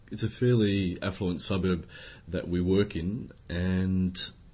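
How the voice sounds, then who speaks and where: In an Australian accent, a man with a very deep, low pitch talks at a very slow pace in a monotone, flat delivery, his voice somewhat breathy against audible room echo. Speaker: language teacher. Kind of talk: educational podcast conversation. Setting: classroom.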